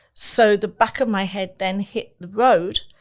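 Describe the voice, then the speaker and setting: In an English accent, a woman speaks at a fairly slow pace. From England. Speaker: entertainment company owner and face painter. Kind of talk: personal testimony in interview. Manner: halting, many fillers.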